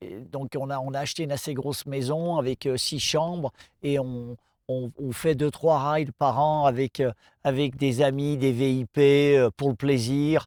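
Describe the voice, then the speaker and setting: A man's fairly slow, fairly even speech in a dry, close sound with no echo. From France. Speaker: off-road motorcycle event promoter. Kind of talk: interview answer. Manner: hesitant, casual.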